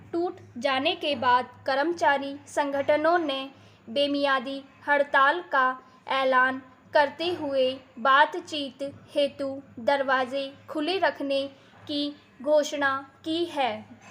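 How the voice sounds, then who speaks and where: With long, frequent pauses, a woman speaks in a high pitch and fairly even intonation. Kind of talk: shorthand dictation read. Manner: slow, evenly paced.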